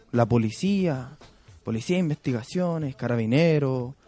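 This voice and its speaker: Music plays in the background as a man speaks at a fairly slow pace, his medium pitch showing ordinary variation. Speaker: community activist. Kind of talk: radio interview.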